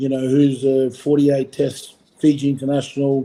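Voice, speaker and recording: Speaking with a strong Australian accent, a man has a fairly high pitch, a dark, mellow tone and monotone, flat intonation. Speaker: former rugby player, coach. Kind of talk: podcast interview. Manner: casual, filler-heavy.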